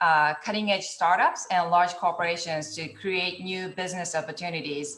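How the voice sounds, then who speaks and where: A woman speaks with a Japanese accent and fairly even intonation. Her pitch is fairly low. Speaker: venture capital partnerships director, panelist. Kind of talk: panel discussion over video call. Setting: video call.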